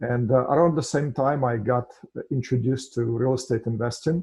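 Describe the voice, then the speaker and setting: In a Russian accent, a man speaks at a moderate pace with a medium pitch, ordinary pitch variation and a somewhat breathy, dark, mellow tone. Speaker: financial services founder and real estate investor. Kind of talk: podcast interview. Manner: hesitant, many filler sounds.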